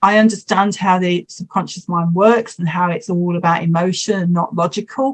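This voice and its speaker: Speaking with hardly any pauses, a woman sounds somewhat breathy and keeps her intonation fairly even. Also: medium pitch for a woman, moderate pace. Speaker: hypnotherapist. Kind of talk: interview.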